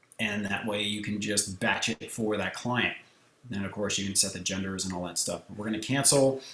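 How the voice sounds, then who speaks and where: A man with a plain, everyday voice talks at a fairly quick pace, his fairly low pitch carried in fairly even intonation. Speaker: photographer and software tutorial creator. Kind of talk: tutorial. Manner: casual, conversational.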